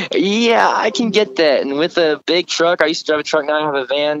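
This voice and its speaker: This man has a high pitch and an American accent. He speaks at a fairly quick pace. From Texas. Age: 20s. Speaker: country musician. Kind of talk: interview. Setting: on tour.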